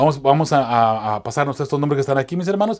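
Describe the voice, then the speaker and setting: A man speaks with ordinary pitch variation. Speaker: chaplain and evangelist teaching Bible lessons. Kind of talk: Bible study lesson. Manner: fast; hesitant, many fillers.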